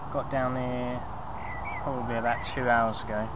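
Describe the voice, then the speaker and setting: Loud background noise surrounds a man talking at a moderate pace, the sound dry with no echo. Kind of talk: casual vlog chat. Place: tent. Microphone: phone near.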